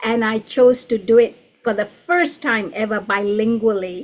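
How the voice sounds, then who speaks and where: A woman with a Gujarati accent, fairly high pitch, ordinary pitch variation and a fairly slow pace. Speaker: storyteller. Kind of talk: online panel discussion.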